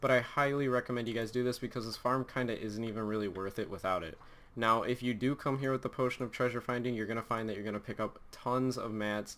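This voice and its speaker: Very fast and with hardly any pauses, a man speaks at medium pitch in a fairly even tone. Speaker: gaming youtuber. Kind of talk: tutorial.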